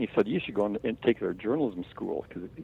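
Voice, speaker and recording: A man's medium-pitched voice at a very fast pace. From Wisconsin. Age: 60s. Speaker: outdoor writer. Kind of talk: interview.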